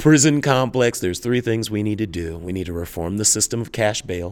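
On a very clean recording with a silent background, a man with an unremarkable speaking voice talks at a fairly low pitch. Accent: American. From US South, Jackson, Mississippi. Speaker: criminal justice policy analyst. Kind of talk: interview. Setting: conference sidelines.

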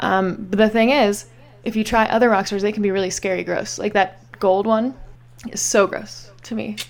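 This woman has a plain, everyday voice at medium pitch, with an American accent. She keeps a moderate pace and ordinary pitch variation. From Pittsburgh, Pennsylvania. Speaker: improv comedian. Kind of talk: casual chat.

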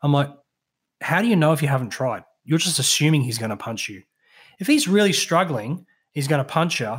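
A man with an Australian accent speaks at a fairly high pitch and a fairly quick pace, his voice somewhat breathy with lively intonation. Long, frequent pauses break up his speech on a very clean recording with a silent background. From southeast Queensland, Australia. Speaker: veteran and mental health speaker. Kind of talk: casual chat, storytelling. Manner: animated, jokey, swears often.

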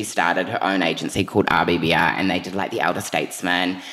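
Very fast and animated, a man with a New Zealand accent talks in a very deep, low pitch. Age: 20s. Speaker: PR consultant and magazine editor. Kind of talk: casual chat. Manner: animated, excitable.

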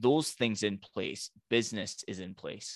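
In a Highland Scottish accent, a man speaks at a fairly slow pace in a fairly low, bright, sharp voice with ordinary pitch variation, recorded dry and close with no echo on a very clean recording with a silent background. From Scottish Highlands. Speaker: business coach. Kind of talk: podcast interview.

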